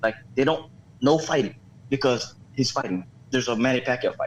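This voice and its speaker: A man is speaking. His pace is fairly quick. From Philippines. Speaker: home cook guest. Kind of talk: casual chat. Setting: live stream show. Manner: animated.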